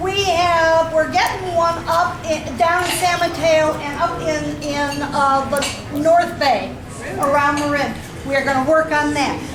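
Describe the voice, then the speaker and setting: A loud, high-pitched woman at a very slow pace, fairly even intonation, audible room echo and noticeable background noise. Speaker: retiree advocacy group officer. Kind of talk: speech to a meeting. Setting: meeting room with audience, no microphone. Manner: interactive, asks the audience questions.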